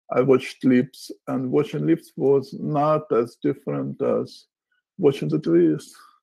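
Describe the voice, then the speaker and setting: A man with a Russian accent speaks at a very slow pace in a very clean recording with a silent background. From Ukraine, Odessa. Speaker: poet. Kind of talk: interview.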